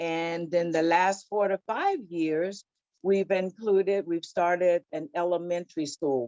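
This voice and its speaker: An unremarkable speaking voice with an American accent, fairly slow with ordinary pitch variation, in a dry, close sound with no echo. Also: woman, fairly low pitch for a woman. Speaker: childcare business owner. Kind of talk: panel discussion.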